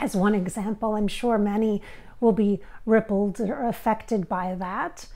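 At a very slow pace, the voice carries a dark, mellow tone. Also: woman, quiet background. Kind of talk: channeling session monologue. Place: home room. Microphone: lapel.

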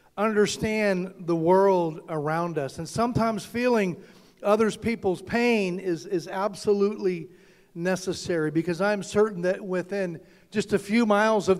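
Against a quiet background, a man speaks in a high pitch with fairly even intonation. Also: moderate pace. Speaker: preacher. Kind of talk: sermon. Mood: earnest, serious. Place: church. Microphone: handheld.

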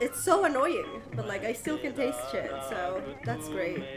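A woman with a nasal, fairly high voice speaks at a fairly slow pace with big pitch swings, while clear music plays in the background and the room echo is audible.

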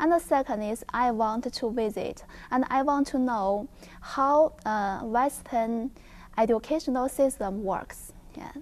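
A woman speaks in a high voice at a fairly slow pace. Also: ordinary pitch variation. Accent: Chinese. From China. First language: Chinese. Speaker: visiting scholar, network security researcher. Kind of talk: interview. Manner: halting, many fillers. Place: studio.

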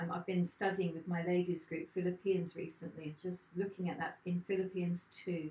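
A woman's fairly low, dark, mellow voice comes out somewhat breathy and flat in a monotone, with audible room echo. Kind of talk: short sermon, Bible reflection. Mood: warm, reflective. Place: home room. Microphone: camera far.

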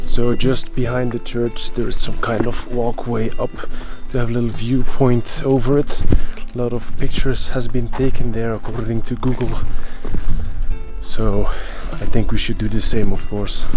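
A man at a moderate pace with long, frequent pauses, in a dry sound with no echo and clear music in the background. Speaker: travel vlogger. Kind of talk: casual vlog chat. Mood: playful, joking. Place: open country. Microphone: phone near.

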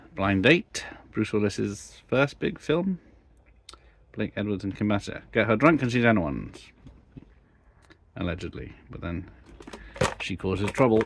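A man's fairly low voice with vocal fry and lively intonation, at a fairly slow pace with long, frequent pauses, dry with no echo, over light background noise. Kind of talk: casual collection commentary. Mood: nostalgic, wry. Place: home room. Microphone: phone near.

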